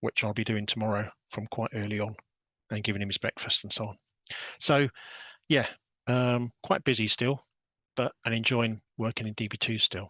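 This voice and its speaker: With a British accent, a man speaks in a bright, sharp tone with fairly even intonation and long, frequent pauses. The sound is dry and close, with no echo. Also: medium pitch for a man, moderate pace. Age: 60s. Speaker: database systems programmer. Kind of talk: technical presentation. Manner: hesitant, with frequent fillers.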